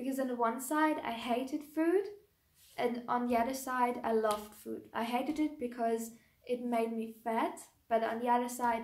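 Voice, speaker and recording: A woman with a German accent at a high pitch and moderate pace, with ordinary pitch variation and audible room echo. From Germany. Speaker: YouTuber, raw vegan lifestyle creator. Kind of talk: personal vlog, casual talk to camera. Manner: hesitant, with many ums and restarts.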